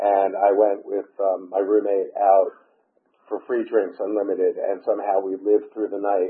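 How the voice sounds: A man's low-pitched voice with an American accent and a slightly husky edge, showing little pitch movement at a fairly slow pace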